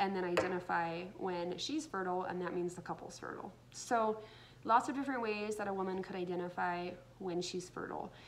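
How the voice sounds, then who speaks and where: A woman talks fairly fast, with light noise in the background. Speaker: educator. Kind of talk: explanatory talk to camera. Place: home room. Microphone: phone near.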